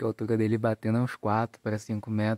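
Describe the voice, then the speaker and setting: The background is quiet and the sound dry, with no echo. A man speaks at a moderate pace. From Southeast Brazil. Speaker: gardening YouTuber; home gardening channel host. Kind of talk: casual vlog, garden tour; channel outro. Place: garden. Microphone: phone near.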